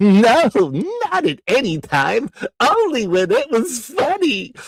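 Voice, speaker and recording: He uses a put-on character voice. The man's pitch is extremely high. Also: fairly slow pace. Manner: cheeky, jokey.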